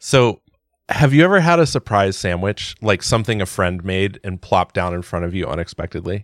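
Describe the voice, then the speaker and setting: An ordinary speaking voice moves at a moderate pace with lively intonation, in a dry, close sound with no echo. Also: man, very clean recording, silent background. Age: 40s. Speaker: podcast host. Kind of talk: casual chat.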